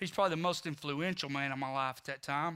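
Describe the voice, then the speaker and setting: In a Texan accent, a man talks at a fairly quick pace with a bright, sharp tone on a very clean recording with a silent background. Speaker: recovery ministry leader. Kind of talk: testimony. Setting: church service.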